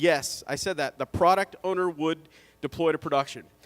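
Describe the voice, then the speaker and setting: A man talks at a high pitch and a fairly quick pace. The recording is very clean with a silent background and a dry, close sound with no echo. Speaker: conference speaker. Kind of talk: ignite talk. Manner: fast.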